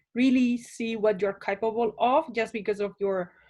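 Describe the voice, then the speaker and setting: On a very clean recording with a silent background, a woman speaks at a fairly slow pace with a fairly high pitch and ordinary pitch variation. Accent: Spanish. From Spain, small town. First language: Spanish. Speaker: immigrant interviewee. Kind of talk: casual interview.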